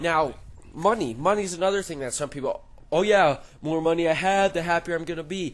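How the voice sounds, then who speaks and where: The voice is loud, moving at a moderate pace with ordinary pitch variation, over noticeable background noise. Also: man. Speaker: gaming YouTuber. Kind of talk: casual commentary over gameplay. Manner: halting.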